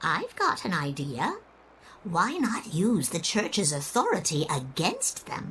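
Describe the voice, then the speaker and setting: A female-sounding voice takes on a put-on character voice, fairly low in pitch and at a fairly slow pace. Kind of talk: old-fashioned formal speech. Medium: video game. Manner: genteel, gracious, slightly theatrical.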